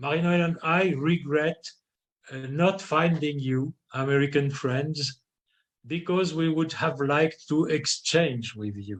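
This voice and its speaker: The voice is somewhat breathy. It moves at a fairly slow pace. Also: man, ordinary pitch variation. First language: French. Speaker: philosophy scholar. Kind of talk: lecture read aloud. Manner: halting; formal.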